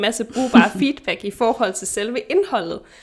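This woman has an ordinary speaking voice with a fairly high pitch and lively intonation. She speaks at a fairly slow pace. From Denmark. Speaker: podcast host, nutritionist. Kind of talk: casual chat. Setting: remote recording.

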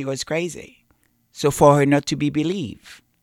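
The recording is very clean, with a silent background. The speaking pace is fairly slow. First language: not English. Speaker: channel host. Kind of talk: casual commentary on a channel. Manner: emotional.

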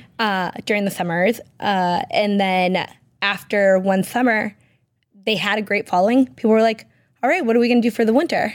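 On a very clean recording with a silent background, a woman speaks in an ordinary speaking voice at medium pitch and a moderate pace, with ordinary pitch variation. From Massachusetts, Peabody. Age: 30s. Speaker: entrepreneur and former football player. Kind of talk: casual interview. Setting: radio studio.

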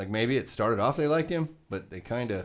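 Very clean and silent in the background, the recording has a man with an American accent talking at a very fast pace with ordinary pitch variation. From Nebraska. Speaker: podcast co-host. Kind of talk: casual chat.

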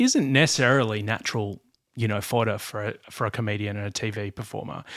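Here a man speaks with an Australian accent. His pace is fairly quick and his intonation fairly even. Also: very clean recording, silent background. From Australia, Blue Mountains. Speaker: podcast host. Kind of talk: casual chat.

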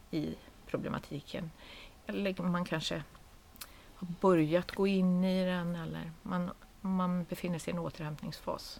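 The woman has a plain, everyday voice, fairly low in pitch, moving at a moderate pace with fairly even intonation. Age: 50s. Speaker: head of a nonprofit association. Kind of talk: casual chat.

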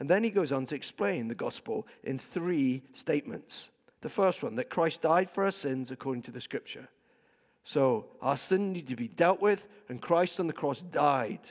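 With a Scottish accent, a man talks at a moderate pace in a fairly high pitch, his intonation lively. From Scotland. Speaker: pastor. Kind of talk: sermon. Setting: church.

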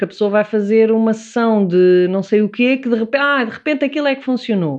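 A woman is talking at a fairly quick pace. Her pitch is fairly high. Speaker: psychotherapist. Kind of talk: casual chat.

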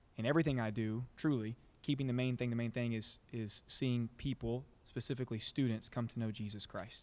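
A man talks at a fairly quick pace in a plain, everyday voice. His intonation stays fairly even. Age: 20s. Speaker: youth pastor. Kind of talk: sermon; casual chat.

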